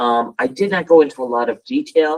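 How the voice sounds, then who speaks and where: The man has an unremarkable speaking voice, fairly high in pitch, and talks at a moderate pace. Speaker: town staff presenting to planning commission. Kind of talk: public meeting presentation.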